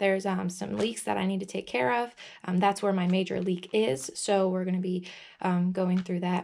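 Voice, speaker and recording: This is a woman at a medium pitch. Her pitch varies in an ordinary way. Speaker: vlogger doing DIY truck repair. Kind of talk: casual vlog tutorial. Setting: outdoors in a parking lot. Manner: fast; hesitant, many fillers.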